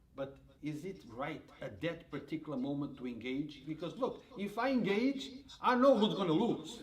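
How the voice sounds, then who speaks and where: Recorded with audible room echo and noticeable background noise, a man speaks in a fairly high voice with very wide pitch swings. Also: moderate pace. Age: 60s. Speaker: reporter. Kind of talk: interview.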